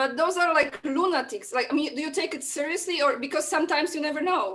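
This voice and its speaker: Her intonation is lively and her pitch is high. This woman speaks at a very fast pace with a Polish accent. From Poland. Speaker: guest. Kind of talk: casual chat.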